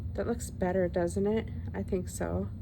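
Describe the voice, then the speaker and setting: A woman's voice with audible room echo. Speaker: craft video creator. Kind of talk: crafting tutorial. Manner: loud; animated.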